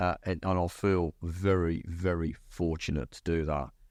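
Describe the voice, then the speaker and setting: Very deep, low male voice with an English accent, fairly slow and fairly even in intonation, on a very clean recording with a silent background. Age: 60s. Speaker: company CEO. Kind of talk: podcast interview. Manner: halting, many repetitions.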